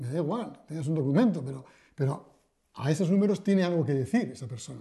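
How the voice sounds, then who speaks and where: Very fast and with lively intonation, a man speaks in a fairly high voice with a dark, mellow tone. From Basque Country, Spain (Bilbao). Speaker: financial journalist. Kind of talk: interview. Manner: hesitant, with frequent repetitions.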